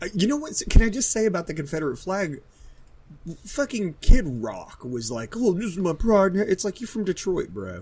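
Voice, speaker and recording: With a slight Southern US accent, a man talks at a moderate pace in a high voice, his tone animated, his pitch swinging very widely and his loudness shifting a lot. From southern West Virginia. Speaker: podcast co-host. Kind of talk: casual chat.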